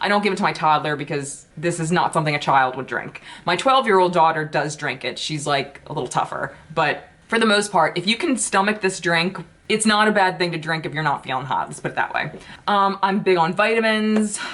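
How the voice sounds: At a fairly quick pace with few pauses, a woman speaks in a fairly low pitch and a fairly bright tone, with ordinary pitch variation.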